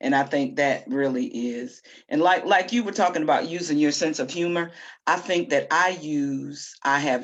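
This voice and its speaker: A woman speaks loudly in a very deep, low voice. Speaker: poet and discussion co-host. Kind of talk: casual discussion. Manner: loud, confident.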